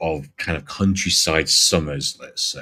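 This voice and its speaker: A man with a Yorkshire accent. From Yorkshire, rural northern England. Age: 40s. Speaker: live streamer. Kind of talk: casual chat.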